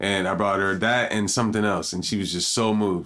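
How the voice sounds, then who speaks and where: A man speaks at a fairly quick pace with a fairly low pitch. The recording is very clean with a silent background, and he has an unremarkable speaking voice. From Indiana, New York. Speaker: guest in cannabis industry. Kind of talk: casual chat.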